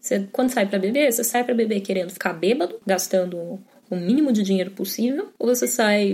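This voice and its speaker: Her voice is somewhat breathy, with a dark, mellow tone and medium pitch. The woman speaks at a fairly quick pace with ordinary pitch variation. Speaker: podcast host on drinks. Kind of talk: casual monologue. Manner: animated.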